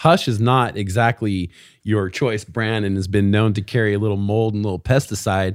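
A man's normal speaking voice, fairly low in pitch, at a moderate pace with fairly even intonation. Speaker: podcast host. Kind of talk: casual chat, catching up.

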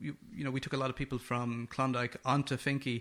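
A man speaks fairly quickly in a western Irish accent, his pitch fairly high and his tone bright and sharp. The recording is very clean, with a silent background. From west of Ireland. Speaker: film director. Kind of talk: interview. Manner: repeats words, fillers.

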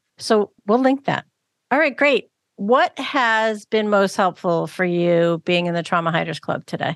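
A woman with an ordinary speaking voice talks at a medium pitch and a fairly slow pace. Her intonation is lively, and the sound is dry and close with no echo. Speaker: podcast host. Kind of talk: casual interview chat. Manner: warm, encouraging, frequent backchannels.

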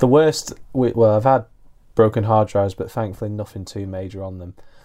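With a British accent, a man speaks at a moderate pace in a fairly low pitch, his tone dark and mellow, on a very clean recording with a silent background. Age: 20s. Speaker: podcast host. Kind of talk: casual interview.

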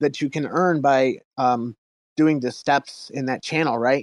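A man with a normal speaking voice, fairly high pitch and fairly even intonation against a quiet background. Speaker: project founder. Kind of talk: project pitch.

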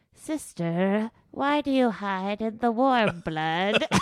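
At a very slow pace, a female-sounding voice performs a put-on character voice at medium pitch. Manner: eerie, unearthly.

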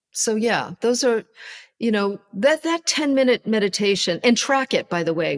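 Recorded very cleanly with a silent background and a dry, close sound with no echo, a woman with an unremarkable speaking voice talks at a moderate pace with lively intonation and a fairly high pitch. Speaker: self-care coach and author. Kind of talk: interview conversation.

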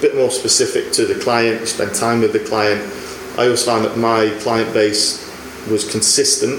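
Against noticeable background noise, a man talks at a moderate pace with very even loudness. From northern England. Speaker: sports scientist. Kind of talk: casual chat.

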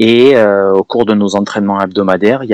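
With monotone, flat intonation, a man speaks in a dry, close sound with no echo. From southern France, Perpignan. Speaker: running yoga instructor, former engineer. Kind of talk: interview.

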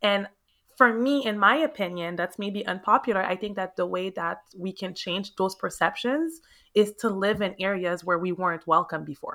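A woman speaks in a Quebec accent with an animated, bright, sharp tone on a very clean recording with a silent background. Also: medium pitch for a woman, ordinary pitch variation, moderate pace. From Montreal, Quebec, Canada (Haitian parents). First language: French. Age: 30s. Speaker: realtor. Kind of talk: interview. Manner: animated, exuberant.

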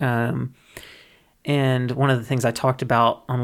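The voice has an American accent and a monotone, flat intonation. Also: man. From US South, Mississippi. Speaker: cannabis science educator. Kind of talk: interview.

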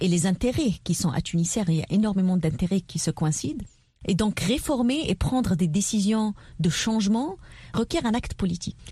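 A woman talks at a moderate pace in a medium pitch with lively intonation, very even loudness and a dark, mellow, somewhat breathy tone. The background is quiet. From southern Tunisia. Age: 30s. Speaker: politician and entrepreneur. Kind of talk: radio interview.

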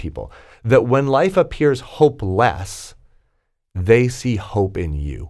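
A man's pitch swings very widely on a very clean recording with a silent background. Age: 40s. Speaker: executive coach. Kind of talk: casual chat.

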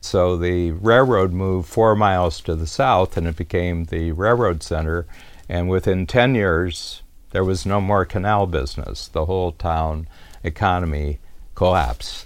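Talking fairly slowly, a man has a very deep, low pitch that varies in an ordinary way. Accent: US Midwestern. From US Midwest, rural Ohio near Cleveland. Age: 70s. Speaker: business coach. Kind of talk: storytelling monologue.

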